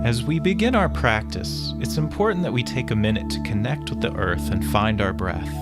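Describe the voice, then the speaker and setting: Over music in the background, a man speaks at a very deep, low pitch. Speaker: yoga instructor. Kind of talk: guided yoga instruction. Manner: slow, calm.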